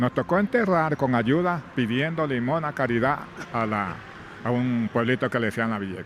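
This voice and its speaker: The speaker has an ordinary speaking voice with lively intonation. The pace is moderate. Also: man, medium pitch for a man. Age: 60s. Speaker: former plantation worker. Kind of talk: testimony.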